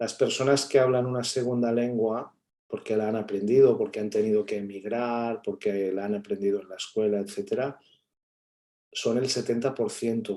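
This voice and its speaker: A man in a Catalan accent, medium-pitched and dark, mellow in tone, at a moderate pace with fairly even intonation. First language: Catalan (speaking Spanish). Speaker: academic guest speaker. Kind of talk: seminar talk answering questions.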